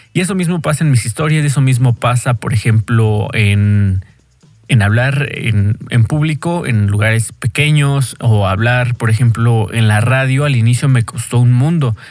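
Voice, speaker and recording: A man talks at medium pitch with ordinary pitch variation and very even loudness, while music plays in the background. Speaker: podcaster and DJ. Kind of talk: casual monologue. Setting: home bedroom. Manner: halting.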